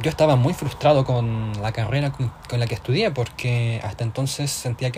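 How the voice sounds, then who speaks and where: This man has a plain, everyday voice, medium in pitch with ordinary variation, and talks at a moderate pace. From southern Chile (Tomé, near Concepción). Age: 20s. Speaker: podcast co-host. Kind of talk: casual chat.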